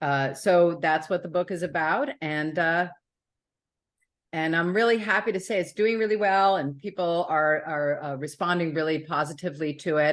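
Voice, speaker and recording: A woman with an American accent and an unremarkable speaking voice talks at a moderate pace in a fairly low pitch, with ordinary pitch variation, over a quiet background. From New York City. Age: 60s. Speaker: author. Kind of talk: interview.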